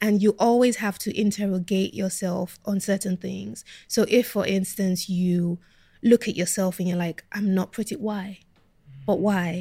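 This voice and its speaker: A woman with a dark, mellow, somewhat breathy tone speaks at medium pitch and a fairly slow pace. Her intonation is fairly even, on a very clean recording with a silent background. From Nigeria (Lagos), then Kent, England from age 13. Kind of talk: interview.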